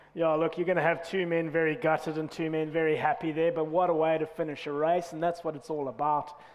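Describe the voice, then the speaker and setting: A man rattles on at a very fast pace with hardly any pauses and a monotone, flat intonation over noticeable background noise. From South Africa. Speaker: rowing coach and race commentator. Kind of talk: live commentary.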